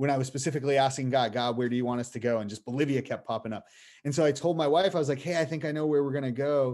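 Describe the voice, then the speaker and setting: Talking very fast in an American accent, a man has a fairly high-pitched voice and fairly even intonation. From Boston area, US. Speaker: missionary. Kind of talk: casual interview.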